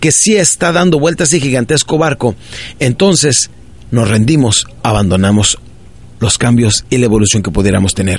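Somewhat breathy and animated, a man talks at a fairly quick pace with very wide pitch swings. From northern Mexico (Ciudad Juárez, Chihuahua). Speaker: motivational speaker. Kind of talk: motivational talk.

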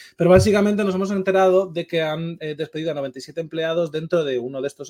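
With a dark, mellow tone, a man talks at a very fast pace in a high pitch with ordinary pitch variation. The sound is dry and close, with no echo. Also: hardly any pauses. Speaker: esports podcast host. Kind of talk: casual chat.

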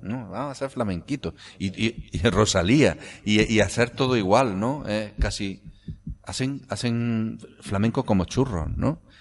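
At a fairly slow pace, a man with an Andalusian accent speaks at medium pitch with ordinary pitch variation. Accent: Andalusian with seseo. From Andalusia, Córdoba province (Priego de Córdoba area). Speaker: writer and philologist. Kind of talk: interview.

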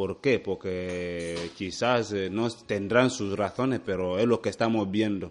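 Against a quiet background, a man speaks at a very slow pace. His pitch is fairly low and his intonation fairly even. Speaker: hospital director. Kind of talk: radio interview. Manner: halting.

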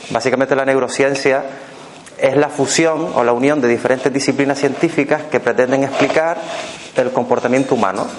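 In a Canarian accent, a man speaks at a fairly quick pace and fairly high pitch, with fairly even intonation and very even loudness against noticeable background noise. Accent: Canarian, seseo. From Canary Islands. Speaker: workshop speaker on fears and neuroscience. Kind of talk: talk to a live audience.

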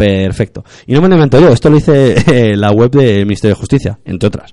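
A man's dark, mellow voice at medium pitch, very fast, with lively intonation. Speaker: radio host. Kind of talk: radio show with legal commentary and interview.

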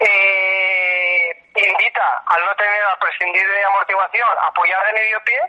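Against noticeable background noise, a man speaks fairly slowly at a high pitch. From Spain, Alicante (Denia). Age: 50s. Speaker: running coach and shoe entrepreneur. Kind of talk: interview. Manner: halting.

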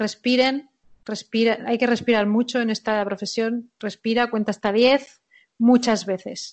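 Here a woman speaks with fairly even intonation. Her pitch sits fairly high. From Spain. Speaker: sports performance director. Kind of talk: interview.

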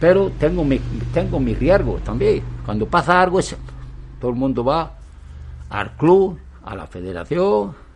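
A man at a fairly slow pace, with long, frequent pauses, big swings in loudness and audible room echo. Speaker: former pro cyclist and cycling federation official. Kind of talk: interview. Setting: outdoors on the street. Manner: halting.

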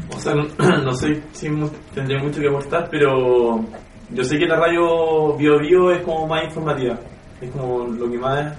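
Noticeable background noise accompanies speech at a moderate pace with fairly even intonation. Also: man, fairly high pitch for a man. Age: 20s. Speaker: industrial engineer, self-employed. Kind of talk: focus group discussion.

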